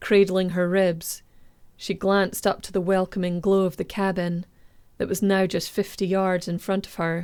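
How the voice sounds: A natural-sounding voice does the reading.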